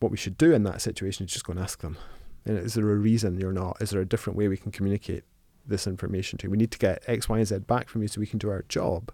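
Delivered at a very fast pace in a Scottish accent, the dark, mellow voice keeps fairly even intonation on a very clean recording with a silent background. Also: man, fairly low pitch for a man. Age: 50s. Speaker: accounting firm co-founder. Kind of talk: interview. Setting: studio.

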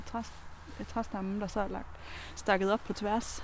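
Noticeable background noise sits behind a woman speaking at a moderate pace with a medium pitch. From Denmark, near Kolding (southern Jutland). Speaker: co-explorer on a night walk. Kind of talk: casual chat while walking.

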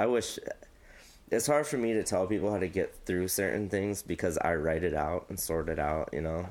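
Male voice in an American accent, moderate pace, ordinary pitch variation. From US Midwest, Quad Cities. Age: 30s. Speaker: music manager. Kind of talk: casual chat.

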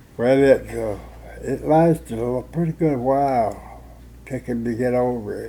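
A man with a Tennessee accent talks at a fairly slow pace. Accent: US Southern (Tennessee). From Gordonsville, Tennessee. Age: 90s. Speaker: war veteran. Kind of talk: oral history interview. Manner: halting.

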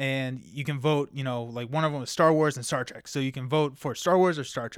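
With an American accent, a man talks at a fairly quick pace in an ordinary speaking voice, his intonation fairly even. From Kentucky, US. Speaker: podcast co-host. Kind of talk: casual chat.

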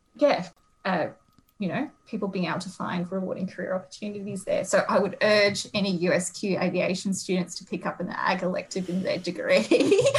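In an Australian accent, a woman delivers her words at a moderate pace. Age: 30s. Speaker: agriculture careers researcher. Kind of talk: interview.

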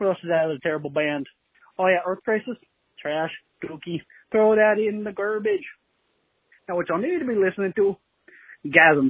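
With a high pitch and ordinary pitch variation, a man talks at a fairly quick pace broken by long, frequent pauses. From Nova Scotia, Canada. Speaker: listener calling in. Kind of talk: voicemail message. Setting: phone voicemail. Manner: joking, playful.

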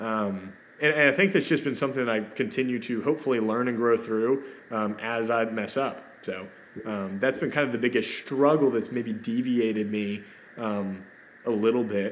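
A man talks at medium pitch and a moderate pace. He has an unremarkable speaking voice. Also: ordinary pitch variation. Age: 20s. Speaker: real estate agent. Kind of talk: podcast interview.

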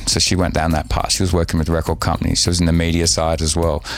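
A man speaks with an Australian accent. Noticeable background noise runs behind him. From Australia, Sydney. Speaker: DJ and radio host. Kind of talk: casual chat. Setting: hotel room.

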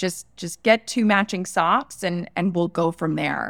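An unremarkable speaking voice with an American accent at a moderate pace, very clean with a silent background and a dry, close sound with no echo. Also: woman. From Florida, US. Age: 30s. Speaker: entrepreneur and personal branding consultant. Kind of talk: interview.

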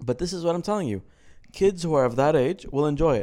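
This man talks at a very fast pace in an Arabic accent. His voice sits fairly high, with a dark, mellow tone. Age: 20s. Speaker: podcast co-host. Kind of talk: casual chat.

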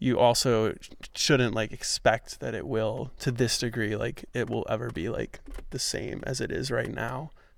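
On a very clean recording with a silent background, a man speaks at a fairly slow pace with an American accent. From New York City. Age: 20s. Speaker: podcast host. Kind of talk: casual interview chat. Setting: outdoors in a park.

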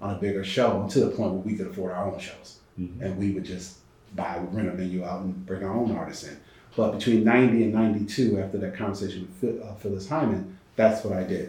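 A man with an American accent speaks at a fairly quick pace in a fairly low voice, his intonation fairly even but his loudness swinging widely, with audible room echo and noticeable background noise. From Connecticut. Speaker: entertainment lawyer. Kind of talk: interview. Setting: studio.

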